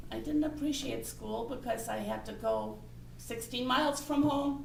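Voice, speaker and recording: Against noticeable background noise and audible room echo, a woman talks at a moderate pace. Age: 60s. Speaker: Toastmasters speaker. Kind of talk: impromptu speech.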